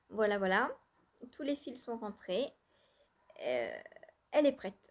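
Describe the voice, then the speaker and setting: Fairly slow speech from a woman, her pitch moving in an ordinary way. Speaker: knitting vlogger. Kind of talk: casual vlog talk. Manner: soft-spoken; hesitant, many fillers.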